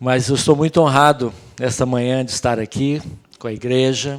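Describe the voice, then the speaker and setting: This man has a medium-pitched voice. He talks at a moderate pace with fairly even intonation. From Brazil. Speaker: pastor. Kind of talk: sermon. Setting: church.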